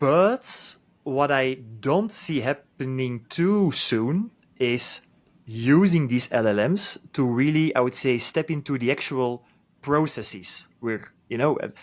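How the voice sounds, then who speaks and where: A man with a non-native accent speaks at a very slow pace in a fairly high voice with lively intonation, on a very clean recording with a silent background. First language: not English. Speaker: podcast host. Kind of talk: interview conversation. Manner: halting, many repetitions.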